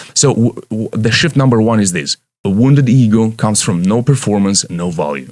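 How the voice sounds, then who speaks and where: With a non-native accent and lively intonation, the speaker keeps a moderate pace. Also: man, fairly low pitch for a man. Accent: foreign. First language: Romanian or Russian. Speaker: leadership coach. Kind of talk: motivational talk. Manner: halting.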